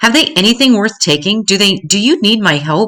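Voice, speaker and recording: A loud, gruff put-on character voice from a woman at medium pitch, full of very wide pitch swings at a fairly quick pace. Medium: read story.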